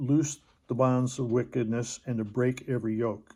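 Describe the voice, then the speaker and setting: A man talks in a dark, mellow tone at medium pitch. His pace is fairly slow. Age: 70s. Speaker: bible teacher. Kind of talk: religious teaching monologue. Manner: halting, many fillers.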